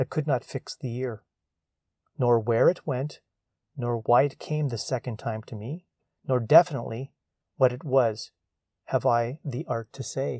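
A man with a dark, mellow, somewhat breathy voice and a calm, gentle tone speaks at a fairly slow pace with long, frequent pauses, the sound dry and close with no echo on a very clean recording with a silent background. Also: medium pitch for a man. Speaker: podcast host. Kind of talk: reflective solo podcast monologue, with a slow, contemplative poem reading. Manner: calm, reflective, unhurried, gentle; poem read slowly with pauses, soft and thoughtful.

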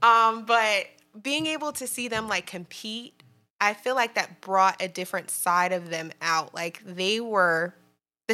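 Speaking in a normal speaking voice with an American accent, this person keeps a moderate pace and lively intonation on a very clean recording with a silent background. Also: woman. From New Jersey. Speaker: PhD student. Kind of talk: casual chat.

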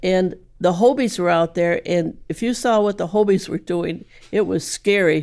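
With an American accent and a normal speaking voice, a woman talks at a moderate pace and medium pitch, using ordinary pitch variation on a very clean recording with a silent background. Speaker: sailor. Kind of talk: storytelling.

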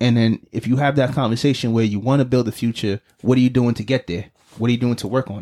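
Talking at a very fast pace in a New York accent, a man uses a dark, mellow tone and makes big swings in loudness. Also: medium pitch for a man. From US Northeast (Brooklyn, New York). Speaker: podcast co-host. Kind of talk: casual chat. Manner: animated.

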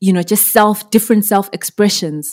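A woman's dark, mellow tone stays fairly even in intonation. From Zimbabwe. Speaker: singer-songwriter and music producer. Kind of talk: interview.

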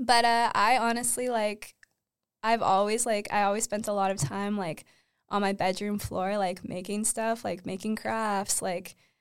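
In a normal speaking voice, a woman talks at medium pitch and a moderate pace with a Canadian accent and fairly even intonation. The recording is very clean, its background silent. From Ontario, Canada (Uxbridge, small town). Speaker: freelance stylist and set designer. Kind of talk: casual interview chat.

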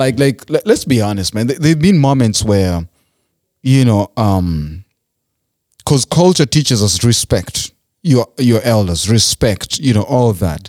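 With lively intonation at medium pitch, a man speaks in a dry, close sound with no echo. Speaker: podcast host. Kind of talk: casual chat. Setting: studio. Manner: loud.

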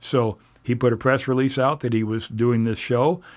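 On a very clean recording with a silent background, a man with a West Coast US accent talks at a fairly quick pace with fairly even intonation. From Oregon (Portland area). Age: 60s. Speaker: TV show host and associate producer. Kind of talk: interview conversation. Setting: studio.

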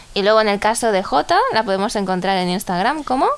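A woman's voice at a medium pitch. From Ecuador. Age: 20s. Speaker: podcast co-host. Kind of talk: casual chat.

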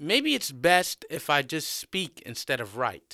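A man's slow, put-on character voice, fairly high and bright, sharp in tone, with very wide pitch swings, on a very clean recording with a silent background

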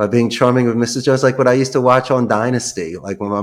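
With an American accent, a man of medium pitch speaks at a very fast pace with fairly even intonation. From US Northeast, Philadelphia. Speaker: call center CEO. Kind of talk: podcast interview.

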